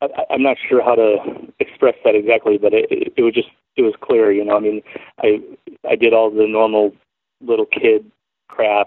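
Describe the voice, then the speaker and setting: Delivery is at a moderate pace. The man talks with an American accent. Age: 40s. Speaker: wood sculptor. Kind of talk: interview. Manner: hesitant, many fillers and repeated words.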